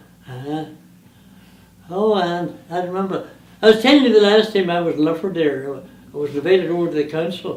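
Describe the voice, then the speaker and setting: A man talks at a fairly quick pace in a high voice with ordinary pitch variation. Room echo is audible. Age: 80s+. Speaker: museum collector, retired power boat racer. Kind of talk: casual interview.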